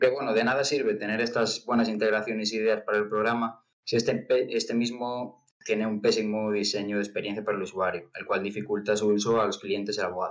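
Here a man with a fairly low pitch speaks at a very fast pace. His intonation is monotone and flat. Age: young. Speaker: startup cofounder. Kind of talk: pitch presentation.

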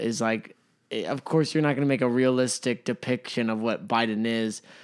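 A plain, everyday voice with ordinary pitch variation, in a very clean recording with a silent background. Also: man. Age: 20s. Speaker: podcast co-host. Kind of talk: casual chat.

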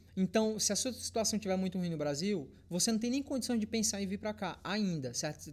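A man talks at a fairly quick pace with hardly any pauses. His high-pitched voice has lively intonation. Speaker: fitness content creator. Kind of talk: casual chat.

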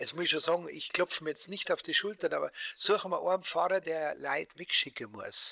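A man talks at a fairly quick pace in a Bavarian accent. The sound is dry and close, with no echo. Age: 60s. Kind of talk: casual interview chat. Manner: animated. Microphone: AI-enhanced audio from poor recording.

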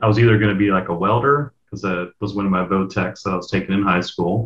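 With an American accent, a man talks at a very deep, low pitch with fairly even intonation. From US, eastern shore of Virginia. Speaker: information security manager. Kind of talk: casual interview chat.

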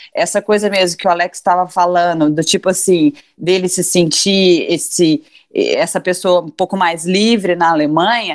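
Fairly even in intonation, a woman talks at a medium pitch and moderate pace. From Brazil, interior of Minas Gerais. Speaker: cultural producer and press officer. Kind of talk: casual chat.

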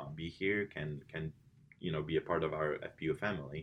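A man with a Polish accent and a very deep, low pitch. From Poland. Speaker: college swim coach. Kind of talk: interview. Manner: many fillers and repetitions.

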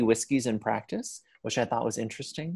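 This man has an ordinary speaking voice with ordinary pitch variation. He talks at a fairly quick pace. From Pittsburgh area, Ohio roots. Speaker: podcast co-host. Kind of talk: casual chat.

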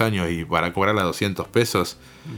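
The man speaks at a fairly slow pace, fairly low in pitch, with ordinary pitch variation. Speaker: radio announcer. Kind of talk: casual chat. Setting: home. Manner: formal.

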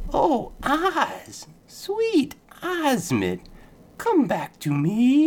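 A man does a put-on character voice at an extremely high pitch. He speaks at a very slow pace. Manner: eerie, whispering, beckoning.

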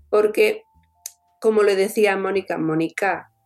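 This woman has a strong Catalan accent. Her pitch sits in the medium range. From Catalonia, Tarragona. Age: 40s. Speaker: orthopaedic surgeon and author. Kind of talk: interview. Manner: animated.

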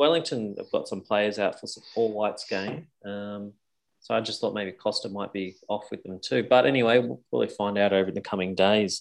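A man's fairly low voice in an Australian accent, fairly quick, with big swings in loudness and ordinary pitch variation. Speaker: podcast co-host. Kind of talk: casual chat.

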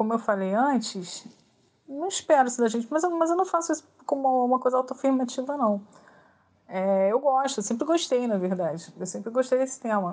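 Speaking fairly quickly, a woman uses a high pitch and lively intonation. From Brazil, Rio de Janeiro. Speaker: author. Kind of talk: interview answers. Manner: halting, with repeated fillers.

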